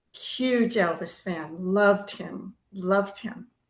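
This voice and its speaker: A woman speaks very slowly in a Californian accent. Her intonation stays fairly even. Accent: Californian American. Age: 70s. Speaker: Elvis fan interviewee. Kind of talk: interview storytelling.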